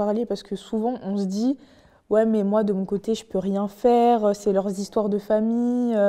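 A woman with a fairly high pitch speaks at a moderate pace in a dark, mellow tone with monotone, flat intonation against a quiet background. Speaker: podcast host. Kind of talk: interview. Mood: earnest, serious. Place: studio. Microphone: lapel.

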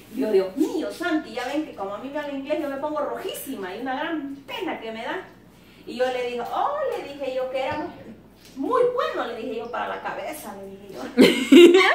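A woman speaks at a moderate pace in a room with audible echo, her loudness swinging widely over noticeable background noise. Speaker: cooking vlogger. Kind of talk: casual vlog chat. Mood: amused, laughing storytelling. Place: kitchen.

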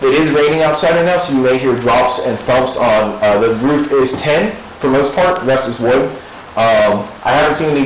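A moderate pace and ordinary pitch variation, with audible room echo and light background noise. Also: man. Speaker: ghost hunter. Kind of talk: addressing spirits during a ghost hunt. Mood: calm, reassuring. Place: church. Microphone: camera far.

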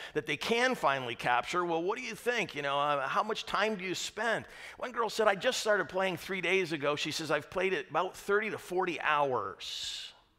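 Projecting loudly with lively intonation, a man talks with hardly any pauses over a quiet background. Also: moderate pace. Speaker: pastor. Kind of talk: sermon. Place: church.

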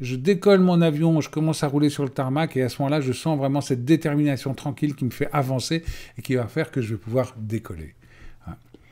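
Against a quiet background, a man speaks at a fairly quick pace. His voice is dark and mellow in tone, with a fairly high pitch. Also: ordinary pitch variation. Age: 50s. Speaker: life coach. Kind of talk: webinar presentation. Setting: web conference recording. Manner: hesitant, many fillers. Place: home room. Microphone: webcam.

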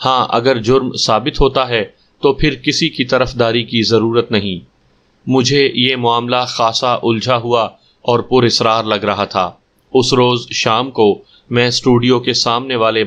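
Speaking in a flat monotone, the man keeps a medium pitch and a very even loudness. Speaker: audiobook storyteller narrating a crime story. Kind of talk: dramatic first-person crime story narration. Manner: formal literary Urdu-style delivery.

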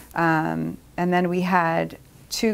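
Speaking with an American accent, a woman has a fairly low pitch. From Upper Darby, Pennsylvania, USA. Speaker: roller derby skater and attorney. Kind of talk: interview answer. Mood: warm, proud, nostalgic. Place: meeting room.

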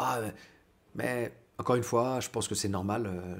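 The delivery has fairly even intonation and a fairly slow pace. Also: man. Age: 30s. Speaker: grappling coach; martial arts coach. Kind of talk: vlog monologue. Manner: hesitant, many fillers. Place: kitchen. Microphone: phone near.

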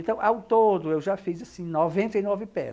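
Dark and mellow in tone, a man's voice carries lively intonation. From Brazil, Ceará (Fortaleza). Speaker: actor, director and theatre historian. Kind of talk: interview. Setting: at the guest's home in central Fortaleza. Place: home room. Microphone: lapel.

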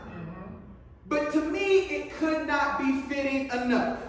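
Fairly slow delivery in a room with strong echo. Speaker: pastor. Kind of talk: sermon. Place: church. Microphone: podium.

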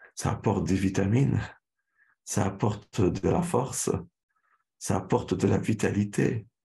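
A man with a fairly low, dark, mellow and somewhat breathy voice speaks at a fairly slow pace with long, frequent pauses, ordinary pitch variation and very even loudness against a quiet background. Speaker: Islamic lecturer. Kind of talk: religious lecture. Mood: calm, earnest. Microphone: webcam.

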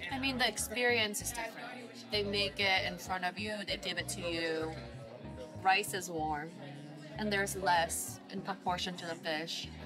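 Over clear background music, a woman talks at a moderate pace with ordinary pitch variation and long, frequent pauses. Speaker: food vlogger. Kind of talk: casual vlog chat. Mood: relaxed, celebratory. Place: bar. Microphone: camera far.

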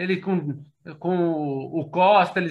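A man speaks with a high pitch and fairly even intonation. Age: 40s. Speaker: football fan commentator. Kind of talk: casual chat. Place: home room. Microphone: video call.

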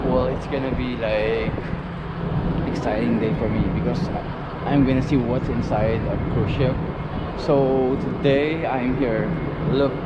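Loud background noise surrounds a man as he talks. He speaks at a fairly slow pace with long, frequent pauses. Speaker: travel vlogger. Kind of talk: casual vlog chat. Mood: excited, upbeat. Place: street. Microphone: phone near.

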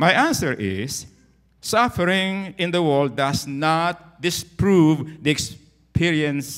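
The background stays quiet while a man talks. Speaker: pastor. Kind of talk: sermon. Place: church. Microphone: handheld.

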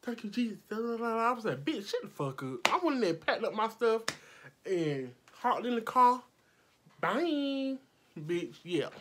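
Loud and animated, a woman speaks at a fairly high pitch and a fairly slow pace with very wide pitch swings and long, frequent pauses over light background noise. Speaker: makeup artist vlogger. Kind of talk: storytime vlog, heated retelling of an argument. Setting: video vlog, filming at home under lights. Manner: loud, animated, combative, sassy. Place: home room. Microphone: phone near.

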